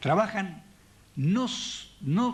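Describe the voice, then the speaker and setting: A man's voice with vocal fry, very wide swings in pitch, and a very slow pace. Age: 70s. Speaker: theatre director and puppeteer giving a talk. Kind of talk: public talk.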